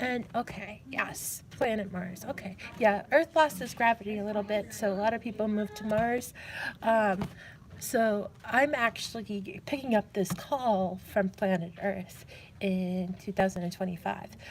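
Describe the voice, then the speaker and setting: Somewhat breathy, a woman speaks at medium pitch and a fairly slow pace, with ordinary pitch variation. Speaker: live streamer playing a call-center role-play game. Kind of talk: live role-play call center operator, casual talk. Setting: public library.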